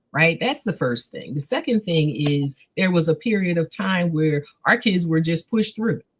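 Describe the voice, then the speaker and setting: A somewhat breathy voice with an American accent, lively intonation and a moderate pace. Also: woman, fairly low pitch for a woman, hardly any pauses. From Philadelphia. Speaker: literacy advocate. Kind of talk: interview.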